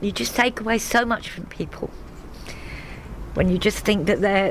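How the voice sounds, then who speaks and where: A woman with ordinary pitch variation over noticeable background noise. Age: 60s. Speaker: council estate resident. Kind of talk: interview testimony. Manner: halting.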